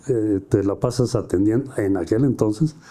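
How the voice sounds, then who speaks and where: At a medium pitch, a man talks in a dark, mellow tone with fairly even intonation. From Mexico, San Luis Potosí. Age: 70s. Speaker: businessman, car dealer. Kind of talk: interview. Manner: halting, many repetitions and fillers.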